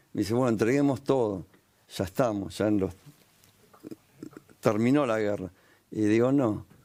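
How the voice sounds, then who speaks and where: A man's fairly low voice in a Rioplatense accent, at a moderate pace with ordinary pitch variation and long, frequent pauses. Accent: Argentine Rioplatense Spanish. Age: 60s. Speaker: war veteran and pastor. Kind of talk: testimony interview. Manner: animated storytelling.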